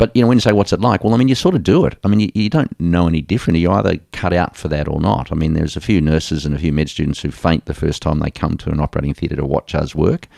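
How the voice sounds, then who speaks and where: A man with an Australian accent and a very deep, low pitch talks at a very fast pace with hardly any pauses and lively intonation, in a dry, close sound with no echo. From Australia, Geelong. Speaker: sports medicine doctor. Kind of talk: interview.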